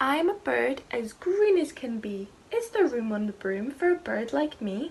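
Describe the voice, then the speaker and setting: A woman puts on a character voice, pitched high, moving at a moderate pace while her pitch swings very widely. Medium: read story.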